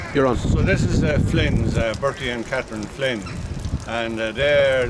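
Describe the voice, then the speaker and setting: A man with a Roscommon accent at a fairly slow pace, set against loud background noise. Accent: Irish, west of Ireland (Roscommon). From Ireland. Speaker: local resident giving oral history. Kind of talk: oral history narration, casual reminiscing while pointing out local houses. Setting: outdoors, walking around town. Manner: rambling, halting with frequent fillers; reflective, conversational. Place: open country. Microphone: camera far.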